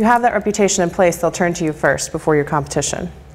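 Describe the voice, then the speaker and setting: A woman's voice amid noticeable background noise. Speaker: marketing and communications speaker. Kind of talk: lecture presentation. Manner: fast.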